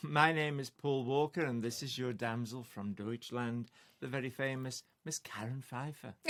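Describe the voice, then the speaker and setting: In a Potteries accent, a man speaks at medium pitch with fairly even intonation. His pace is moderate, and the recording is very clean with a silent background. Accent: Potteries (Stoke) English. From Stoke-on-Trent, England. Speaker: folk singer-songwriter. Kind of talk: casual chat.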